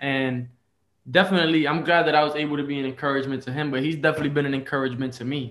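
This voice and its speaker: A man's fairly high voice with a New York accent, very fast and delivered in a monotone, flat intonation. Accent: New York City. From Bronx, New York. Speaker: lay evangelist. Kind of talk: casual interview.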